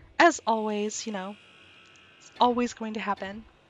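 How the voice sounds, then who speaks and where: The speaker keeps a moderate pace and fairly even intonation. Noticeable background noise runs underneath. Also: woman. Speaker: gaming video creator. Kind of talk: gameplay commentary. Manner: casual, conversational.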